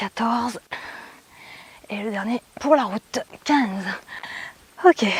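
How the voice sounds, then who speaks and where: A soft-spoken woman at a very slow pace, fairly high in pitch, with lively intonation, long and frequent pauses, a dry, close sound with no echo, and noticeable background noise. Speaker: fitness and yoga instructor. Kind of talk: workout class instruction.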